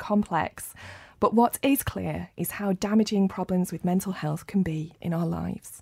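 The voice has a dark, mellow tone, is somewhat breathy, and moves at a moderate pace with ordinary pitch variation. The recording is very clean, with a silent background. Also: woman. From Rochdale, northern England. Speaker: podcast host. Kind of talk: podcast interview. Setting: studio.

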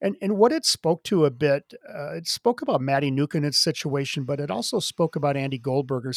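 In a very clean recording with a silent background, a man with a plain, everyday voice talks at a moderate pace, his fairly high pitch carried by lively intonation. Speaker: podcast producer. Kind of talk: preview discussion.

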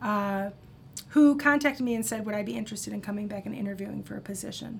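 A woman's fairly high voice with a Midwestern American accent. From US Midwest, Iowa (Cedar Rapids). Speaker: social work professor. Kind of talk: casual interview. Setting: studio.

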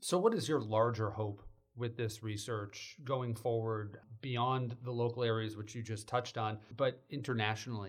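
Here a man speaks at a moderate pace and medium pitch, somewhat breathy. His intonation stays fairly even. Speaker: podcast host, journalism lecturer. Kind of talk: interview.

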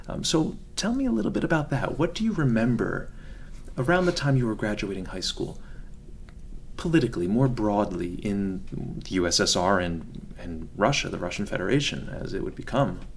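Soft-spoken and at a moderate pace, a man talks at a medium pitch with very wide pitch swings. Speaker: podcast host. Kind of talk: interview. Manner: formal.

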